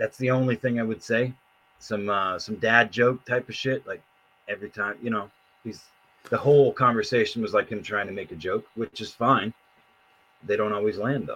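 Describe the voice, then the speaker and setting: A man's medium-pitched, bright, sharp voice, with fairly even intonation, a moderate pace and long, frequent pauses. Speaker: podcast co-host / commentator. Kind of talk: casual chat. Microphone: bad audio, sounds underwater.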